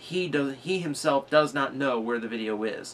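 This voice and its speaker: Light background noise can be heard. Over it, a man speaks. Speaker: vlogger. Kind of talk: casual vlog chat. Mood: frustrated, serious. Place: home room.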